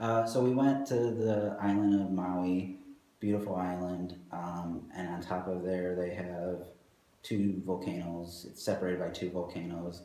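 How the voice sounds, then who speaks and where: A soft-spoken man with a very deep, low pitch, fairly even intonation and a fairly slow pace, amid audible room echo. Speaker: architect at a design firm. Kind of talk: interview. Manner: hesitant with fillers.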